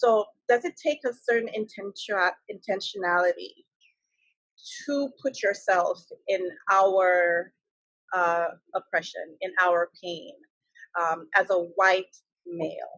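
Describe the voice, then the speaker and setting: With a West Indian accent, a woman speaks at a very slow pace with long, frequent pauses, in a dry, close sound with no echo. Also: medium pitch for a woman, ordinary pitch variation. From West Indies. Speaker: talk show host. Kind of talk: interview.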